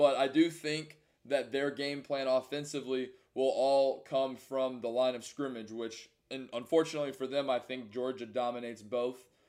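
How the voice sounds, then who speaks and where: A man's normal speaking voice at medium pitch, moderate pace and fairly even intonation. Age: 20s. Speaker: sports podcast co-host. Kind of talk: casual chat.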